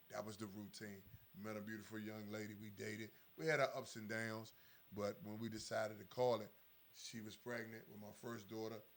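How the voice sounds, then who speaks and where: A plain, everyday voice: a man with an American accent talks at a fairly quick pace, with a fairly low pitch and fairly even intonation. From Washington DC. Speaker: former inmate in recovery. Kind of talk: testimony.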